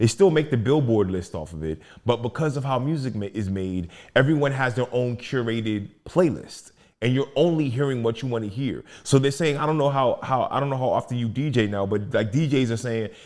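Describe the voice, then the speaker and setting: A man speaks fairly quickly in an ordinary speaking voice at a medium pitch, with ordinary pitch variation, on a very clean recording with a silent background. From Maryland, Prince George's County (DC area). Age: 40s. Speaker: rapper, poet and educator. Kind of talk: podcast interview. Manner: conversational, frequent fillers and restarts.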